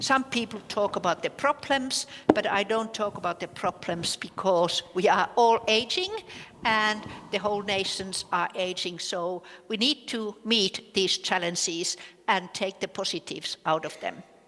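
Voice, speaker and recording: A woman speaks in a Finnish accent with ordinary pitch variation. Noticeable background noise runs behind her. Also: medium pitch for a woman, fairly slow pace. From Finland. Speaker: professor. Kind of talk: conference lecture. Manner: hesitant, many filler sounds.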